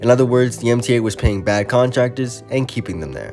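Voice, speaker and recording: Over music in the background, the speaker talks very fast with ordinary pitch variation. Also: man. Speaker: transit video essayist. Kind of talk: video essay narration.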